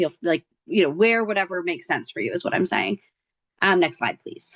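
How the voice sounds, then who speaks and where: The sound is dry and close, with no echo. A woman talks at a fairly quick pace. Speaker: nonprofit advocacy organizer. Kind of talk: presentation. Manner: fast.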